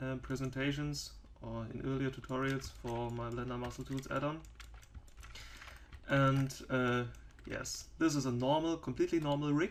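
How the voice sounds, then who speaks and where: A man talks in a flat monotone at a moderate pace. He leaves long, frequent pauses. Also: medium pitch for a man. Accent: German. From Germany. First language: German. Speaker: 3D software developer and tutorial maker. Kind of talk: tutorial. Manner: halting, many fillers.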